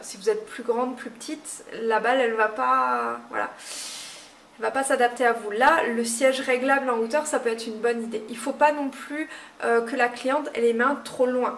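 There is light noise behind a woman's voice. Her pitch is fairly high and her intonation fairly even. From Moselle, France. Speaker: nail technician trainer. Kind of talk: tutorial. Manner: halting, many fillers.

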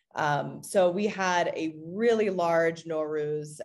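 A woman's very deep, low voice with an American accent, fairly even intonation, and a quiet background. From Arizona, US. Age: young. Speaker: city council member. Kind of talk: talk; panel talk, speaking freely. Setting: video call. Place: home room. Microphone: video call.

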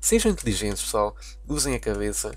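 A man with a European Portuguese accent speaks at a fairly quick pace. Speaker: gaming YouTuber. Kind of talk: casual gameplay commentary. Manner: animated.

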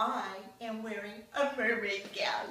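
In a room with audible echo, a woman speaks with a fairly high pitch. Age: 60s. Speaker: plastic surgery patient. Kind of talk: patient testimonial to camera. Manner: enthusiastic, upbeat. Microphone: camera far.

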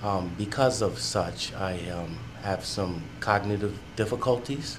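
Noticeable background noise sits behind a man with a New York accent. He talks at a very slow pace with ordinary pitch variation. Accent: New York area American. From New York State, Westchester County. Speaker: brain injury rehabilitation patient. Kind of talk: personal testimony. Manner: halting, searches for words.

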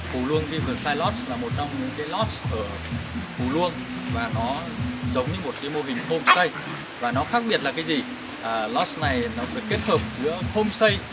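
Someone speaks at a fairly quick pace with music playing in the background. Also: man. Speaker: presenter. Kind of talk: travel review commentary. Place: open country.

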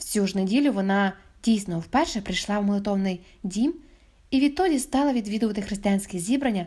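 Reading done in a natural voice

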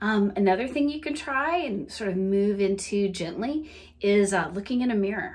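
With a slight Southern US accent, a woman speaks using lively intonation. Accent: light Southern US, city-adapted. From US South. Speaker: wellness coach. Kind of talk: guided laughter exercise. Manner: animated, laughs often; playful.

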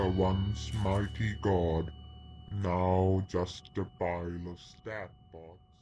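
Over clear background music, a man puts on a character voice, very deep and low, delivered at a very slow pace in a monotone, flat way. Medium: dub. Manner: taunting, defiant.

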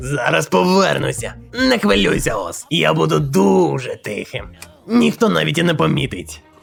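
A man puts on a character voice with a fairly low pitch and a moderate pace. Faint music plays behind him. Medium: fan dub. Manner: playful, teasing.

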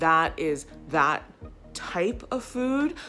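Faint music can be heard behind the speech. The speaker is a woman. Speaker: travel vlogger. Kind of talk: casual vlog chat. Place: home room. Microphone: phone near.

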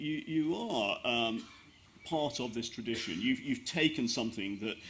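A man talks at a moderate pace in a fairly bright tone.

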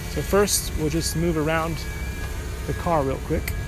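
Music plays in the background while the speech moves at a fairly slow pace. The sound is dry, with no echo. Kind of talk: casual commentary. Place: street. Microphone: phone near.

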